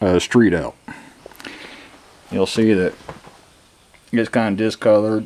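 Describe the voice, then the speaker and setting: Against noticeable background noise, a man with a fairly low pitch speaks fairly slowly and with fairly even intonation, leaving long, frequent pauses. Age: 60s. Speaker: farmer. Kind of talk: casual tutorial vlog. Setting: outdoors at farm. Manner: casual, plainspoken.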